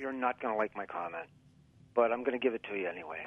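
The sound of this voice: A man talks with an American accent at a fairly quick pace. His medium-pitched voice has vocal fry and ordinary pitch variation.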